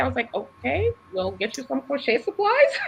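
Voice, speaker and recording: Fairly brisk speech from a woman, with clearly audible noise behind her. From Boston, US. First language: Haitian Creole or French. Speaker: ESL teacher and nonprofit worker. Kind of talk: podcast interview.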